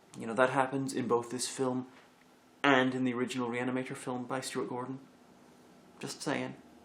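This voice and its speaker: Over noticeable background noise, a man with an American accent speaks at medium pitch. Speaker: video reviewer. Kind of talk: bloopers from a comedy review recording.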